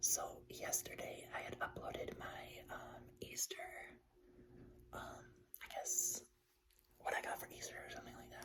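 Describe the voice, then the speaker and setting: A man whispers. He speaks with an American accent. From Buffalo, New York, USA. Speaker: ASMR creator. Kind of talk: casual ramble to camera, ASMR life update. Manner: relaxed, rambling, filler-heavy.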